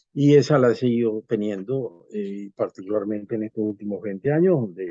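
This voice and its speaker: A man speaks at a medium pitch with a dark, mellow tone and ordinary pitch variation. The recording is dry and close, with no echo. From Venezuela. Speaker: constitutional law professor. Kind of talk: interview.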